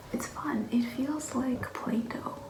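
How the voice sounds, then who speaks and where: Soft-spoken and calm in tone, the voice moves at a very slow pace. Noticeable background noise runs underneath. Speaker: vlogger. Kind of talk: casual vlog narration.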